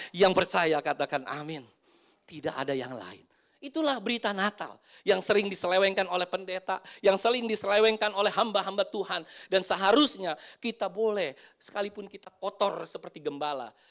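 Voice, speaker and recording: Animated in tone and lively in intonation, a man speaks fairly quickly at a high pitch in a very clean recording with a silent background. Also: big swings in loudness. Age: 50s. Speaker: pastor. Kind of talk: sermon.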